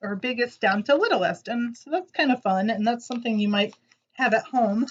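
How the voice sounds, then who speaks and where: This woman's voice sits fairly high. Her pitch stays on the upper side. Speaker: preschool teacher. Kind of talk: children's lesson video. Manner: animated.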